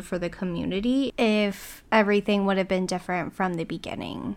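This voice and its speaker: A woman's plain, everyday voice at medium pitch, with fairly even intonation and a moderate pace. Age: 20s. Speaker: true crime podcast co-host. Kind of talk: casual chat.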